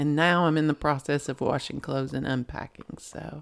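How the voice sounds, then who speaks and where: A woman speaks with a Southern US accent and a very deep, low pitch. Her intonation is monotone and flat at a moderate pace. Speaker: podcast co-host. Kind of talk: casual chat.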